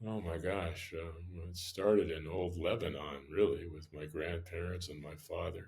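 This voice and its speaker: A man with an American accent speaks at a moderate pace with hardly any pauses, his very deep, low voice somewhat breathy and monotone, flat in intonation, with big swings in loudness. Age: 60s. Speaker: restaurant owner. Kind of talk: interview. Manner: casual, many fillers.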